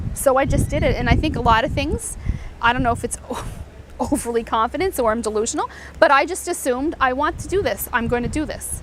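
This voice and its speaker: A woman with a Canadian accent speaks very fast, loud and animated, at a high pitch. Her pitch variation is ordinary, and noticeable background noise is present. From eastern Canada. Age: 40s. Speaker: mortgage broker. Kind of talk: interview.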